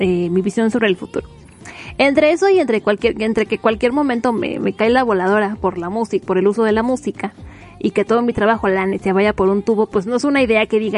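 A woman with a Mexican accent, fairly high-pitched and animated, at a fairly quick pace, with ordinary pitch variation, noticeable background noise, and a dry, close sound with no echo. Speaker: podcast host. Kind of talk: casual monologue. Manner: rambling with fillers.

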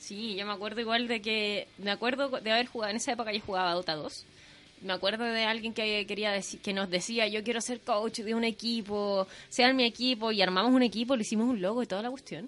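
A woman talks at a fairly quick pace in a normal speaking voice. Her pitch is fairly high, and her intonation fairly even. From northern Chile, Chuquicamata. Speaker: radio host. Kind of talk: casual radio chat.

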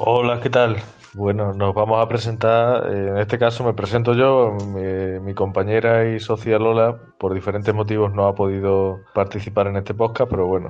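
Monotone, flat intonation carries this moderately paced speech. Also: man, fairly low pitch for a man. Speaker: gallery founder and historian. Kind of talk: recorded introduction.

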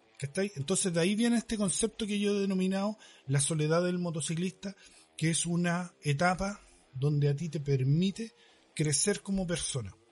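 A man with a Chilean accent, high-pitched for a man, at a moderate pace with ordinary pitch variation. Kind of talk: casual chat.

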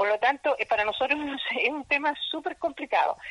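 A woman with a high pitch uses a raised, projected voice and very wide pitch swings at a moderate pace. The sound is dry and close with no echo. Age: 60s. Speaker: market vendor and association leader. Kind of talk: interview. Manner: energetic.

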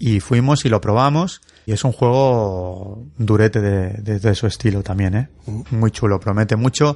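This man speaks at a fairly slow pace. His pitch is medium, with ordinary variation. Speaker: board game podcast co-host. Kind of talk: casual chat.

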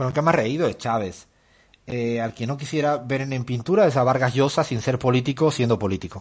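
A man's speech runs fairly quickly, and his pitch shifts in a typical manner. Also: medium pitch for a man. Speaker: economist and radio show host. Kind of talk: casual interview chat. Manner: hesitant, with fillers and repetitions.

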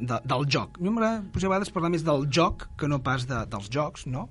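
At a moderate pace, a man speaks in a somewhat breathy voice. His pitch is fairly high, and his intonation is lively. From Catalonia, Granollers. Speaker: board game designer. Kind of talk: casual chat.

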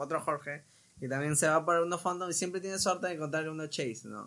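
A man's voice sounds bright and sharp, fairly high, with ordinary pitch variation. The background is quiet. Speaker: toy collector and content creator. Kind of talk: casual chat.

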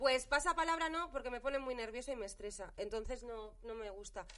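At a fairly quick pace, a woman talks with a high pitch. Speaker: podcast co-host. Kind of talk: casual chat.

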